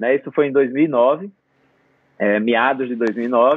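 A man is talking. His delivery is very slow. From Brazil. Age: 50s. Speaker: photographer. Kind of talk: interview conversation.

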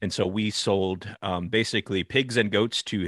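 A man with a West Coast accent speaks at a fairly low pitch with ordinary pitch variation, the sound dry and close with no echo and the background quiet. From Northern California, Sonoma County. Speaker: agriculture podcast host and recruitment founder. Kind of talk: interview conversation.

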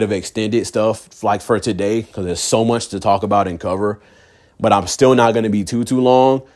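A man's medium-pitched, animated voice at a fairly quick pace on a very clean recording with a silent background. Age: 20s. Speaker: podcaster. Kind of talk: casual monologue.

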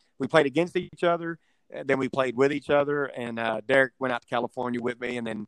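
A man with a Texan accent, the sound dry and close with no echo. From Texas (Houston, West Texas). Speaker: rancher and domino player. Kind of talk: casual chat.

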